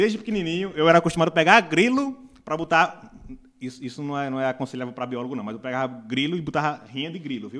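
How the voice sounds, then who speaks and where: Intonation runs lively as a man speaks. His pace is very fast. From Brazil, Northeast (Paraíba). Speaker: biologist and teacher. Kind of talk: casual chat. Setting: studio.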